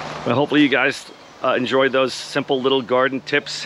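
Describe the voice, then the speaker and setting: With an American accent, a man speaks at a fairly quick pace in a medium pitch. Noticeable background noise runs under his voice. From Texas. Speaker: homesteader and gardening YouTuber. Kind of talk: casual vlog tutorial. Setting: outdoors in garden.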